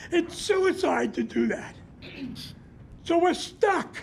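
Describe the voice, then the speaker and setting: A man speaks at a very slow pace. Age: 70s. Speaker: community activist. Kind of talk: public comment.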